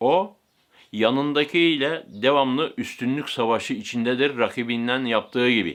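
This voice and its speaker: The speaker has an unremarkable speaking voice with ordinary pitch variation. The pace is fairly slow. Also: man, medium pitch for a man. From Turkey, Aegean (Bodrum area). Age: 60s. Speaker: camel wrestling breeder. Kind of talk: interview answers.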